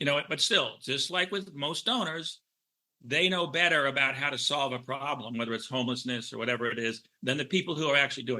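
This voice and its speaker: A man's bright, sharp voice sits at a medium pitch with ordinary pitch variation. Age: 70s. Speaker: film director. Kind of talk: interview.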